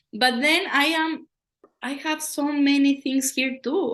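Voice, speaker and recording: A woman with a Latin American accent at a very slow pace. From Ecuador. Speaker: poet and educator. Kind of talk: interview.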